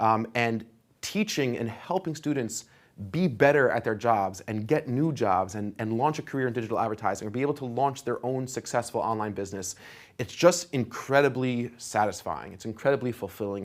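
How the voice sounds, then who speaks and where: In a very clean recording with a silent background, a man speaks fairly quickly at a medium pitch. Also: ordinary pitch variation. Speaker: online course instructor. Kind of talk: lecture. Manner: fast.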